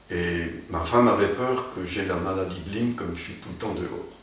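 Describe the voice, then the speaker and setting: Over noticeable background noise and audible room echo, a man talks in a very deep, low voice with fairly even intonation. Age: 70s. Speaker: former patient. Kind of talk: testimony. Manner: hesitant, many fillers.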